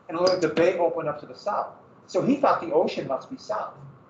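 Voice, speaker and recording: With lively intonation and an American accent, a man speaks at a high pitch amid audible room echo and noticeable background noise. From Montana, US. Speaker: history teacher. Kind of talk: lecture. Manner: casual, halting.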